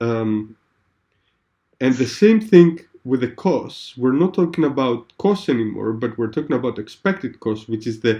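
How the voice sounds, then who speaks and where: A man speaks with a dark, mellow tone at medium pitch. His intonation is lively. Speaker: tutor. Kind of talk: one-on-one tutoring lesson. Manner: hesitant, many fillers; slow, deliberate explanation.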